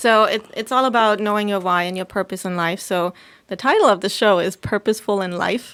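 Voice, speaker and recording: Fairly quick and fairly even in intonation, a woman speaks at a medium pitch with a German accent. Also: very clean recording, silent background. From Germany. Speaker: podcaster and local business owner. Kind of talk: casual interview.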